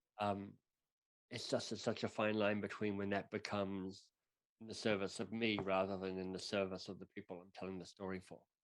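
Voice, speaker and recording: The delivery is monotone and flat in intonation, with big swings in loudness. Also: man. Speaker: author and coach. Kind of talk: podcast interview. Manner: halting, repeats words.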